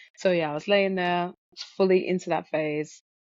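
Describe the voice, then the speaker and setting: A woman with a British accent speaks at a fairly quick pace, her pitch varying in an ordinary way. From UK. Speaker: guest sharing out-of-body experience. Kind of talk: testimony.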